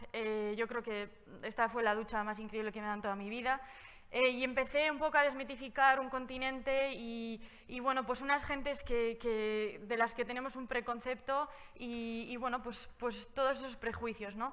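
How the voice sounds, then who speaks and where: Her voice is high, with fairly even intonation. The woman keeps a moderate pace. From Basque Country, Spain. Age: 20s. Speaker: travel speaker, cycle traveller. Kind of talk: public talk. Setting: stage with audience, also streamed online. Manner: hesitant, many fillers.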